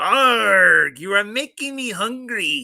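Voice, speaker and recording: Someone performs a put-on character voice at a very slow pace. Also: man. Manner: exaggerated, growling.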